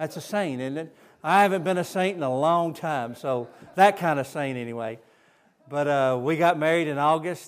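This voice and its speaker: A man with a Southern US accent talks at a fairly high pitch and fairly slow pace with ordinary pitch variation in a very clean recording with a silent background. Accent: Southern US (Georgia). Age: 60s. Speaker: missionary. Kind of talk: sermon. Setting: church.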